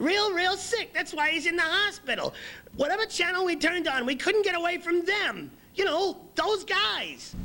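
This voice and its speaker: An extremely high-pitched put-on character voice, neither fast nor slow. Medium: comedy sketch. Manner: rambling, repetitive.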